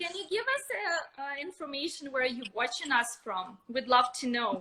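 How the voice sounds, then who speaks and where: A woman with a Russian accent speaks in a raised, projected voice. Her pitch is high, her intonation lively and her pace moderate. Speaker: nail technician educator. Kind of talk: live stream expert talk.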